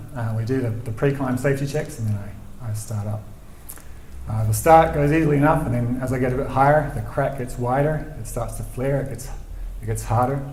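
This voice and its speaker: A soft-spoken voice with a New Zealand accent moves at a fairly quick pace with fairly even intonation. Audible room echo and noticeable background noise sit around it. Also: man, medium pitch for a man. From New Zealand, Christchurch. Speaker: storyteller, rock climber. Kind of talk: live storytelling. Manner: halting, repeats words.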